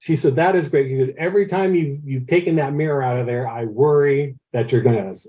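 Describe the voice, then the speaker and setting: This man talks at a fairly quick clip with hardly any pauses, a somewhat breathy voice, and ordinary pitch variation. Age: 60s. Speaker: amateur astronomer, telescope builder. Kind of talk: podcast interview, casual storytelling. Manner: hesitant, repeats words often.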